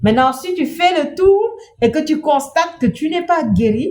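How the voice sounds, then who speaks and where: Pitch swings very widely here. The speaker has a non-native accent. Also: woman. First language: not French (speaking French). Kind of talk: inspirational talk.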